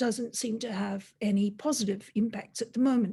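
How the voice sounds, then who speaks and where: A woman with an Australian accent, a fairly high pitch, a dark, mellow tone, a somewhat breathy quality and ordinary pitch variation. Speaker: robotics industry leader. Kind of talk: webinar talk. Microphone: laptop.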